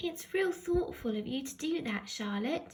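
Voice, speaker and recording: Putting on a character voice, a woman speaks in a high pitch at a moderate pace. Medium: read story.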